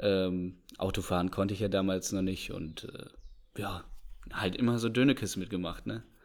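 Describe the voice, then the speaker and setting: This man has a very deep, low pitch. His intonation stays fairly even. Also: moderate pace. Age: 20s. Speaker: agricultural engineering student, trained farmer. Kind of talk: interview.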